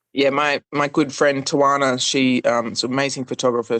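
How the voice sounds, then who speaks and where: A woman with an Australian accent speaks at a fairly quick pace. Her pitch is very deep and low, and her intonation is monotone and flat. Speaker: singer-songwriter. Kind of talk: interview.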